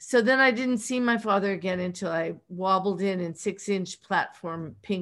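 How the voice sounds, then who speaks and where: In a Pittsburgh accent, a woman speaks at a medium pitch with ordinary pitch variation and a fairly slow pace. The recording is very clean, with a silent background. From Pittsburgh, US. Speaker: author. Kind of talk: interview.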